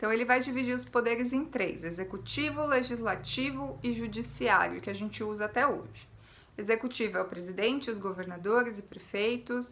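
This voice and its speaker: Her fairly high voice carries lively intonation and vocal fry, as a woman speaks in a room with audible echo. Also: moderate pace. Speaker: history teacher. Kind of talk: lecture.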